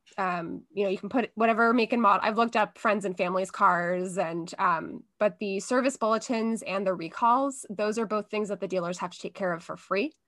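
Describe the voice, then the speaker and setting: An ordinary speaking voice from a woman of medium pitch, with ordinary pitch variation, a fairly quick pace, hardly any pauses and a quiet background. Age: 30s. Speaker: podcast guest, comedy writer. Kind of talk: casual chat.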